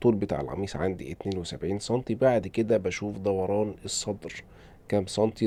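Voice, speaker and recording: Here a man with an Egyptian accent speaks at a fairly quick pace. His voice has a fairly low pitch and a dark, mellow tone. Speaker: tailor teaching sewing. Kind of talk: tutorial. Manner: hesitant with fillers.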